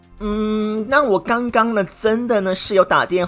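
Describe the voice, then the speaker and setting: With music in the background, a man speaks at a fairly slow pace in an animated tone. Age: 40s. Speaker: podcast host. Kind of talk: solo monologue. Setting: indoors with air conditioning.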